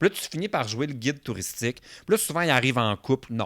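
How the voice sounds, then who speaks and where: Lively in intonation, a man speaks at a fairly quick pace in an ordinary speaking voice, in a very clean recording with a silent background. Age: 30s. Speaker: podcast guest, content creator. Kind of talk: casual chat.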